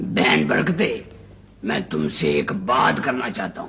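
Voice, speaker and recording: Putting on a raspy character voice at medium pitch, a man talks at a fairly slow pace with very wide pitch swings over light background noise. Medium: short film.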